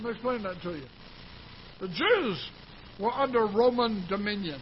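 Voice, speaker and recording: Over noticeable background noise, a man talks at a moderate pace. His high voice carries lively intonation. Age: 70s. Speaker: pastor. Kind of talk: sermon. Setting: church.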